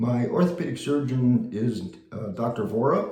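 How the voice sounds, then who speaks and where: A man talks at a medium pitch with ordinary pitch variation, amid audible room echo and noticeable background noise. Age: 70s. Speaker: vlogger sharing surgery experience. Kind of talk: casual video diary. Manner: halting with many fillers.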